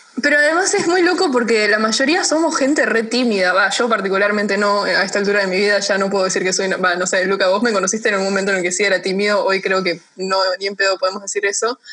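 A woman talks at a very fast pace with hardly any pauses and very even loudness. Her medium pitch varies in an ordinary way, with noticeable background noise behind her. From United States. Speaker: podcast host. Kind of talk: casual chat.

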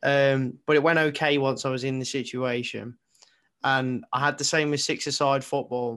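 The recording is very clean, with a silent background. A man with an English accent speaks at a medium pitch in a monotone, flat manner. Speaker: co-host. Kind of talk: casual chat.

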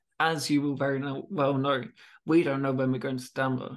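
Here a man talks at a moderate pace with a medium pitch. His voice shows little pitch movement.

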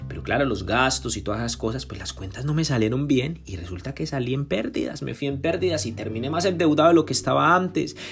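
A very fast, animated delivery with hardly any pauses and very wide pitch swings, over noticeable background noise. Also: man, medium pitch for a man. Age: 20s. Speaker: podcaster and entrepreneur. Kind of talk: autobiographical monologue.

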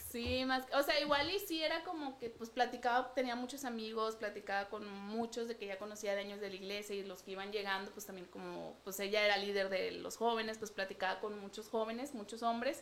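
Over noticeable background noise, a woman speaks at a fairly quick pace with fairly high pitch and ordinary pitch variation. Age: 30s. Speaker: pastor's daughter, wife. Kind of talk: casual chat.

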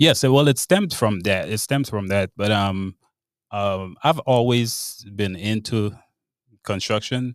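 In a Grenadian accent, a man with a fairly low pitch is captured in a very clean recording with a silent background and a dry, close sound with no echo. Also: ordinary pitch variation, fairly slow pace. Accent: Grenadian Caribbean English. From Grenada. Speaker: bartender and home remodeler. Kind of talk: interview.

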